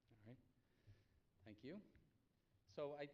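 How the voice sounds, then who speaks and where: Here a man speaks with a Boston accent. His pitch varies in an ordinary way. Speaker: energy economist panelist. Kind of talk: conference presentation.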